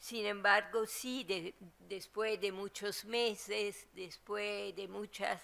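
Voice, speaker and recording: A woman speaks at a very slow pace, her medium-pitched voice carrying fairly even intonation. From Latin America. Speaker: theologian. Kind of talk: book presentation talk. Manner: halting, with frequent fillers and repetitions.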